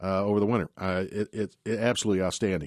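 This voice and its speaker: A man's fairly low voice in an upbeat tone at a very fast pace. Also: quiet background. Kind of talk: radio DJ patter: live call-in gardening show opening with banter and plugs. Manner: upbeat, chatty, jokey, rapid-fire with frequent interruptions.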